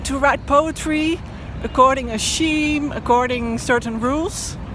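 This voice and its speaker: Speaking fairly slowly with a Dutch accent, a woman uses a high, fairly even voice amid noticeable background noise and audible room echo. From Netherlands. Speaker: poet and blogger. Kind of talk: personal vlog monologue. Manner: halting, with fillers.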